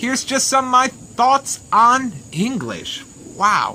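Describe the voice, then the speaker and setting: The tone is animated and the pace fairly slow. Noticeable background noise is present. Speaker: teacher and vlogger. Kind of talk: casual vlog monologue. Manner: loud, shouting.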